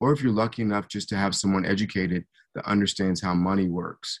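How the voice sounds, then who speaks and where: Against a quiet background, a man with a fairly low pitch talks at a very fast pace in a dry, close sound with no echo. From US Midwest, Hutchinson, Kansas. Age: 50s. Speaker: former pro football player, motivational speaker. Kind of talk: podcast interview.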